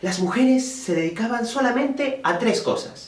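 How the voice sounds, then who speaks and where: A man with a Peruvian accent, a fairly slow pace and very wide pitch swings over noticeable background noise. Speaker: storyteller. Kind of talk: oral folk tale telling.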